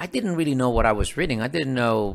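A man with a Spanish accent, fairly quick, with lively intonation. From Dominican Republic, rural mountain town. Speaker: professor and author. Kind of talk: interview.

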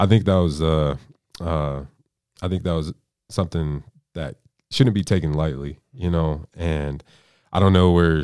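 With an American accent, a man speaks in a very deep, low voice at a moderate pace with fairly even intonation, in a very clean recording with a silent background. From Colorado (Aurora, Denver suburb). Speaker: college football player. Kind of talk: testimony.

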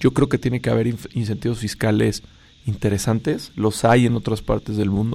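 A man with a fairly low pitch and a dark, mellow tone talks at a moderate pace, with vocal fry and ordinary pitch variation. The recording is very clean, with a silent background. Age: 30s. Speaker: startup founder and CEO. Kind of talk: radio interview. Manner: energetic.

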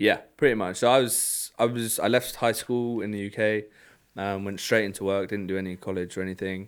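On a very clean recording with a silent background, a man with a London accent speaks at a fairly quick pace, his fairly low pitch held in fairly even intonation. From London, England. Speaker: car club executive. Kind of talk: casual chat.

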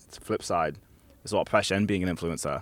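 Someone with an American accent talks at a very fast pace on a very clean recording with a silent background. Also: man. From New Jersey, grew up Orlando Florida. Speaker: singer-songwriter and DJ. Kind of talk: casual interview chat.

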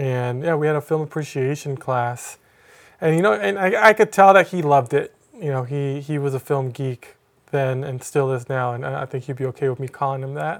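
In a very clean recording with a silent background, a man with a plain, everyday voice speaks at a fairly quick pace, his fairly high pitch showing ordinary pitch variation. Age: 30s. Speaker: documentary filmmaker. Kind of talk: casual chat.

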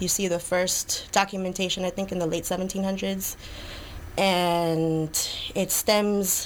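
A woman with an American accent speaks very slowly at medium pitch in a flat monotone. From New York City, Lower East Side. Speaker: flamenco dancer. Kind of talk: casual interview. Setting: studio.

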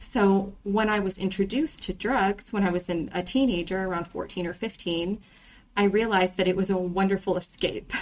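A woman speaks in a medium pitch with an ordinary speaking voice. Her intonation stays fairly even. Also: moderate pace. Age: 20s. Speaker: veterinary technician. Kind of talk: casual chat.

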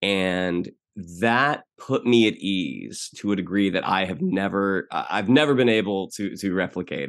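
A man with an American accent uses an ordinary speaking voice, fairly low in pitch with ordinary pitch variation, against a quiet background. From Orlando, Florida, US. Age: 40s. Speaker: actor and writer. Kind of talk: casual chat.

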